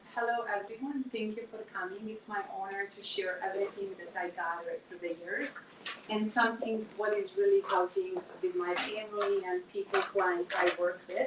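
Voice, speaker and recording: At a moderate pace, a woman talks at a fairly high pitch over noticeable background noise. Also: ordinary pitch variation. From Bosnia and Herzegovina (Serbian). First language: Serbian. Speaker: natural health coach. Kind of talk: workshop talk. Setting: live workshop with audience.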